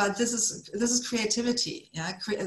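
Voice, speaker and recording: A woman with a German accent at a moderate pace, amid audible room echo and noticeable background noise. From Germany. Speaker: author coach. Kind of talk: online conference talk. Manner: animated.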